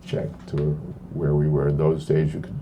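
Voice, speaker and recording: A man speaks with audible room echo. Noticeable background noise is also present. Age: 70s. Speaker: monk and spiritual teacher. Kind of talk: talk with Q&A. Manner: conversational, halting with repetitions.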